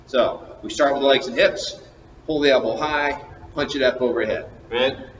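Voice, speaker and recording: Light background noise and audible room echo are present. At a moderate pace, a man delivers his words. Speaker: fitness coach. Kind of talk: tutorial. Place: gym. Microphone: camera far.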